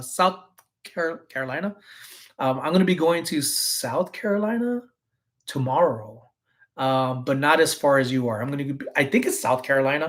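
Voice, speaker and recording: Speaking with lively intonation at a fairly high pitch, a man leaves long, frequent pauses. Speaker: reseller and vlogger. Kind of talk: casual live stream chat. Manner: soft-spoken.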